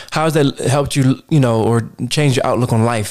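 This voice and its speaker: A man with a normal speaking voice and a medium pitch goes at a fairly quick pace, his intonation fairly even. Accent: American. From Baltimore, Maryland. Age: 30s. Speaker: podcast host. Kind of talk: casual interview.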